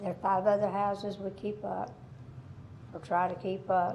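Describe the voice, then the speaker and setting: In an audible room echo, a woman with a Southern US accent speaks at medium pitch and a moderate pace, sounding somewhat breathy. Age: 70s. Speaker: property owner. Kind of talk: public comment. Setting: council meeting podium.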